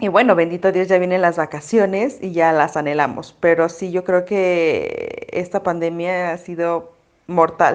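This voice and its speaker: In a Mexico City accent, a woman speaks at a fairly slow pace with fairly low pitch and fairly even intonation. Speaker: mom influencer. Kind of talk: casual chat.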